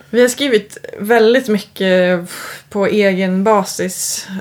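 A woman uses a plain, everyday voice, keeping a medium pitch and fairly even intonation. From Uppland, Sweden (Knutby). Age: 30s. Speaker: guitarist. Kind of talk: casual chat.

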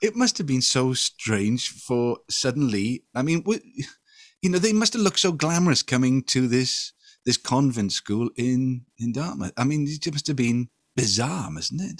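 A plain, everyday voice with lively intonation moves at a fairly slow pace. The sound is dry and close, with no echo. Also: man, medium pitch for a man. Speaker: radio host. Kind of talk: casual interview chat.

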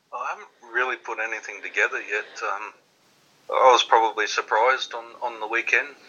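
A man with an Australian accent at a fairly quick pace, with big swings in loudness. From Australia (Queensland). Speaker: darts player. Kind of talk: interview. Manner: halting.

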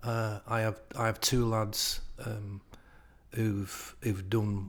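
A man at a medium pitch speaks in a flat monotone with a somewhat breathy voice, recorded very cleanly against a silent background. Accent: Lancashire. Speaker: retired PE teacher. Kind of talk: casual chat.

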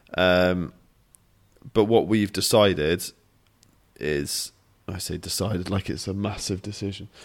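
A man with a British accent speaks at a fairly slow pace in a very deep, low pitch, with fairly even intonation and a playful tone. Long, frequent pauses break his speech, and the recording is very clean with a silent background. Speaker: podcast co-host, fitness coach. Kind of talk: casual chat. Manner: playful, joking.

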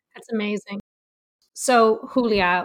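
A woman with an unremarkable speaking voice talks at a moderate speed, her pitch varying in an ordinary way, on a very clean recording with a silent background. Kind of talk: podcast interview.

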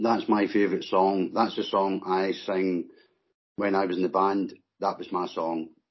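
A man speaks at a fairly slow pace in a Scottish accent. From Scotland. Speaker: guest, mod and northern soul fan. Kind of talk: casual chat.

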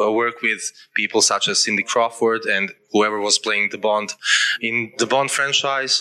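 A man speaks at a medium pitch with ordinary pitch variation. Noticeable background noise runs under his voice. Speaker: festival moderator. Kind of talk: on-stage interview and Q&A. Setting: stage with audience. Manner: halting.

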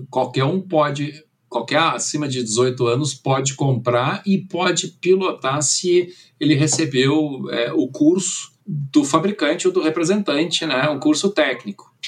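Somewhat breathy, this man speaks at a fairly slow pace. His pitch is fairly high, with ordinary variation. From Brazil, moved from Germany at age nine. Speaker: drone company director. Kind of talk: interview.

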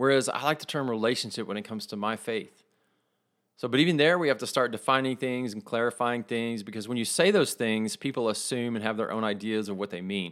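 A man with a Texas accent and medium pitch speaks at a very fast pace with ordinary pitch variation, on a very clean recording with a silent background. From West Texas. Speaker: podcast host. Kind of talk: casual faith talk monologue.

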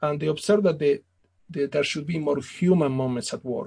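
A man with an Italian accent speaks with ordinary pitch variation. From Italy / Argentina. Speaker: business author. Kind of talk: interview. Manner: formal.

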